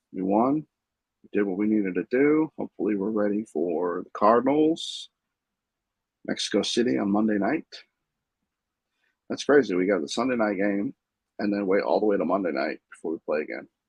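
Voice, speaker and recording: A soft-spoken man talks at a moderate pace in a fairly low pitch, with lively intonation. Long pauses come often. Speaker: sports fan vlogger. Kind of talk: casual solo recap. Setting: home room with TV. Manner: halting.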